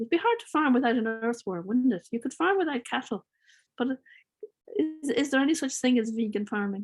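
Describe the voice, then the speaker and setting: With an Irish accent, a woman speaks at a moderate pace and a high pitch, her intonation lively. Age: 60s. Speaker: farmer. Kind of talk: Q&A session.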